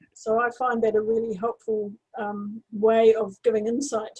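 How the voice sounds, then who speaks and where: Recorded with a dry, close sound and no echo, a woman with a New Zealand accent speaks at a fairly high pitch in a dark, mellow tone. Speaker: astrologer. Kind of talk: interview. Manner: halting.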